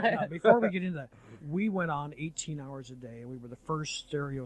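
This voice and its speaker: A man's plain, everyday voice, fairly quick, with lively intonation. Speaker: radio station owner and former radio engineer. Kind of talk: casual on-air talk about radio history, 1993 radio interview. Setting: radio studio broadcast, aircheck recording.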